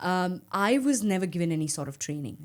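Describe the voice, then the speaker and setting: At a moderate pace, a woman speaks in a fairly low voice on a very clean recording with a silent background. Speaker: cricket commentator and former national captain. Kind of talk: interview. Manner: calm, subtle on mic.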